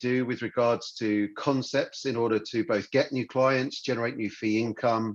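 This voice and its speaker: Against a quiet background, a man with a British accent talks at a moderate pace, barely pausing, his pitch varying in an ordinary way. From United Kingdom. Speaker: financial adviser. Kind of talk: business presentation. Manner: hesitant, many fillers.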